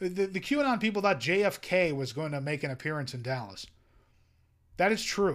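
This man has a high voice with very wide pitch swings, talking at a moderate pace. The recording is very clean, with a silent background. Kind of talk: angry rant. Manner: sarcastic, exasperated, sputtering with incredulity; emphatic, scolding, mocking tone.

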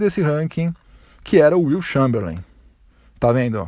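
A very clean recording with a silent background, full of very wide pitch swings. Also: man. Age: 40s. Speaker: sports podcast host. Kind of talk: solo sports podcast monologue. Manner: casual, conversational.

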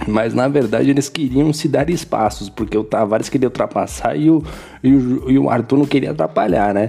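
A man's medium-pitched voice with vocal fry, ordinary pitch variation, very even loudness and a moderate pace. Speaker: sim racing podcast host. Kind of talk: post-race recap podcast. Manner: casual, filler-heavy with repetitions.

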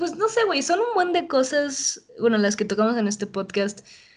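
A woman's high-pitched voice sweeps through very wide pitch swings. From Mexico City. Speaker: podcast host. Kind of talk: casual chat.

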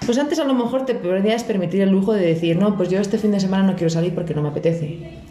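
A woman in a Spanish accent at medium pitch, very fast pace with hardly any pauses, very even loudness, music in the background. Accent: Spanish (Spain). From Spain. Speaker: podcast guest. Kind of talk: casual chat.

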